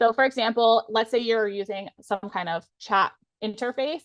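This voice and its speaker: Recorded with a dry, close sound and no echo, a woman has an ordinary speaking voice at a fairly high pitch. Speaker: lawyer turned legal tech presenter. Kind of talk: webinar presentation.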